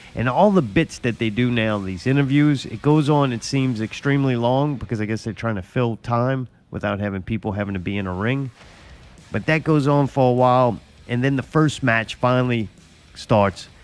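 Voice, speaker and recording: A man with an American accent at medium pitch, ordinary pitch variation, a moderate pace, and music in the background. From US South. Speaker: podcast host. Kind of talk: casual chat.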